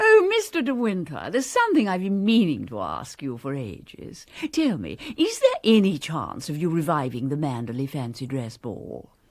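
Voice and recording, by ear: This put-on character voice moves at a moderate pace with few pauses and very wide pitch swings. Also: woman, low pitch for a woman.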